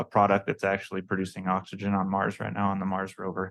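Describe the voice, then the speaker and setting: Over a quiet background, a man speaks very fast in a very deep, low voice with monotone, flat intonation. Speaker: research center representative presenting to legislators. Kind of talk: committee presentation.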